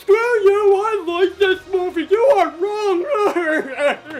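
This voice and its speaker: A loud, put-on character voice at an extremely high pitch, very slow in pace. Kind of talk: crude, dumb-sounding. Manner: loud, belligerent.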